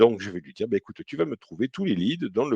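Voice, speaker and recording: Dry and close with no echo, a man's dark, mellow voice carries vocal fry and very wide pitch swings. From southern France, Toulouse. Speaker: CRM consultant. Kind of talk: software demo webinar. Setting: live online webinar. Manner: hesitant, many fillers.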